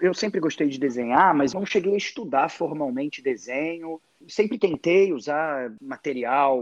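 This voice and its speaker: A man talks at a moderate pace in a normal speaking voice, fairly high-pitched for a man. The sound is dry and close, with no echo. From Rio de Janeiro, Brazil. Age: 40s. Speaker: comic artist. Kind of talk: interview.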